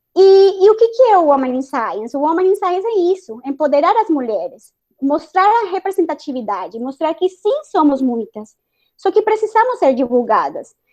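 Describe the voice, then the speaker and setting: Speaking at a moderate pace in a Spanish accent, the voice makes very wide pitch swings. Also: woman, extremely high pitch for a woman. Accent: Spanish accent in Portuguese, noticeable. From Colombia, Bogotá. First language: Spanish (speaking Portuguese). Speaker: chemical engineer and science communicator. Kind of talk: panel discussion.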